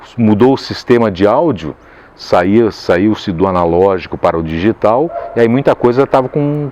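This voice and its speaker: Noticeable background noise sits behind a man speaking at a fairly slow pace. His pitch is medium, with very wide swings. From Caxias do Sul, Brazil. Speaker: voice actor. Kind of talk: interview answer. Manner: casual, conversational.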